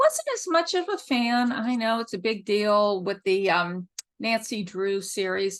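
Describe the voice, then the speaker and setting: Over a quiet background, a woman speaks at a fairly slow pace with a fairly high pitch. Her tone is animated and her intonation lively. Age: 60s. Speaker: author. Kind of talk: interview answers. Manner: reading prepared answers.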